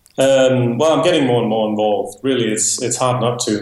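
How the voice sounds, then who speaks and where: A man with a Danish accent speaks with fairly even intonation amid noticeable background noise. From Denmark. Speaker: software developer and business owner. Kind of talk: interview.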